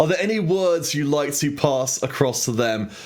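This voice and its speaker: With a British accent, a man speaks at a fairly slow pace with lively intonation, and audible room echo surrounds his voice. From Britain. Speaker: esports caster. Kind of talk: post-match interview.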